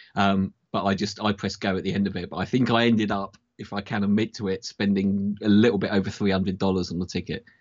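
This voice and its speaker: A man speaks very fast in a British accent, with hardly any pauses. His pitch is fairly low and his intonation is monotone and flat. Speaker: football fan panelist. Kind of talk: casual chat.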